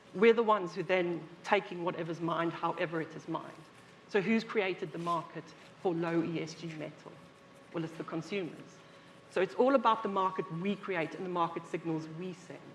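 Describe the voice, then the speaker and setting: A woman's fairly low, fairly evenly intoned voice at a fairly quick pace, with big swings in loudness and noticeable background noise. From South Africa. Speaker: industry expert panelist. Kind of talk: conference panel discussion.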